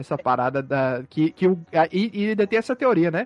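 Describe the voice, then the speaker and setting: Dry, close sound with no echo against a quiet background. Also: man. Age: 30s. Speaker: podcast host. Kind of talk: casual chat.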